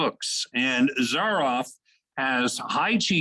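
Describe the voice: Quiet surroundings behind a plain read-aloud passage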